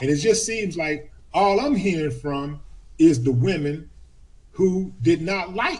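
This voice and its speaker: A man's somewhat breathy, animated voice swings very widely in pitch. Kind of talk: casual chat.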